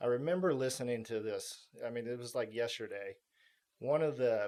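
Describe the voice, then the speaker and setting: Using a plain, everyday voice, a man speaks at a fairly quick pace in a medium pitch. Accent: American. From Texas (Houston). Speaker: military pilot veteran. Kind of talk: podcast interview.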